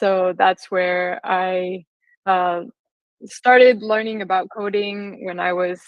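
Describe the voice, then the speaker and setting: A woman speaks in an American accent at a medium pitch. Her intonation is monotone and flat. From US, California. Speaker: software engineer. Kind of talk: conference talk.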